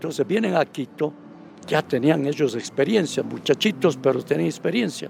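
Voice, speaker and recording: With a highland Ecuadorian accent and vocal fry, a man talks at a moderate pace. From Ecuadorian highlands (Baños, Tungurahua). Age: 80s+. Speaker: veteran radio journalist and pastor. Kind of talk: interview.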